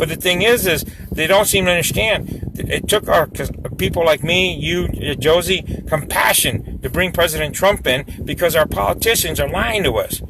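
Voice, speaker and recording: A loud, animated voice over noticeable background noise. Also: man, high pitch for a man, ordinary pitch variation, moderate pace. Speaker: local activist. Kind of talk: live stream chat.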